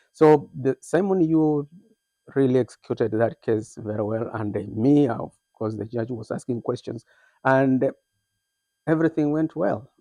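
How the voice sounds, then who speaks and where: A man with a dark, mellow tone speaks at medium pitch and a moderate pace, with ordinary pitch variation. He leaves long, frequent pauses, and the sound is dry and close with no echo over a quiet background. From Kenya. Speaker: immigrant, former teacher, moving company owner. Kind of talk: interview.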